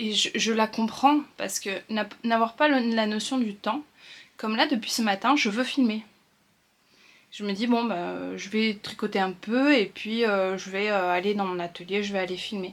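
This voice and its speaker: On a very clean recording with a silent background, a woman speaks at a fairly slow pace. Her fairly high pitch shows ordinary variation. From northern France. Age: 30s. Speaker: sewing and knitting vlogger. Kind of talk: casual vlog talk. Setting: at home. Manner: hesitant, many fillers.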